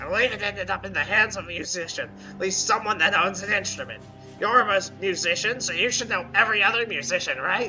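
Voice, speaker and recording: A man speaks very fast in a put-on character voice, pitched high. Music plays clearly in the background. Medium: game stream. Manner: indignant, defensive.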